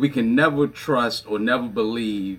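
Here a man speaks with a fairly low pitch. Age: 40s. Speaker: pastor. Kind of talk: casual chat.

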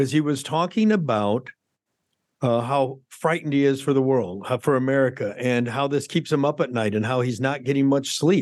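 A man uses a normal speaking voice at medium pitch with ordinary variation and very even loudness. The background is quiet. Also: moderate pace. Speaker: podcast co-host, doctor. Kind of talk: casual political talk podcast.

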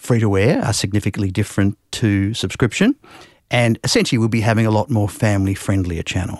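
A man with an Australian accent, fairly low pitch and ordinary pitch variation, recorded with a dry, close sound, no echo and a quiet background. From Western Australia, Perth. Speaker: TV channel manager. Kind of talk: interview. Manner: hesitant, with filler words.

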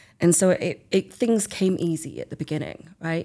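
A woman's fairly low, dark, mellow voice with vocal fry, in an English accent at a fairly quick pace. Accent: English, self-described as dodgy. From England. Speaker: artist and book author. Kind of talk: casual interview.

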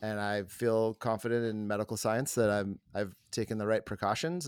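Recorded with a dry, close sound and no echo, a man in a normal speaking voice talks at a moderate pace and a fairly low pitch. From US Deep South. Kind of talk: casual chat. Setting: video call.

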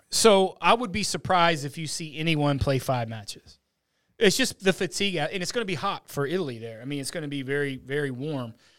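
A man with an unremarkable speaking voice, fairly high in pitch, with lively intonation, big swings in loudness and a fairly quick pace, on a very clean recording with a silent background. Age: 20s. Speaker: golf analyst and handicapper. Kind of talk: casual sports talk. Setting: studio.

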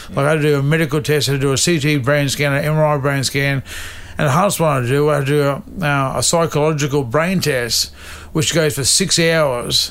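The voice moves at a fairly quick pace with fairly even intonation and very even loudness. Behind it is noticeable background noise. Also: man, fairly high pitch for a man. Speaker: stuntman and racer. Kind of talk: casual interview chat. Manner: halting.

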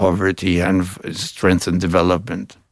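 A man talks with a Spanish accent. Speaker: ambassador. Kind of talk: interview. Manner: halting, many fillers.

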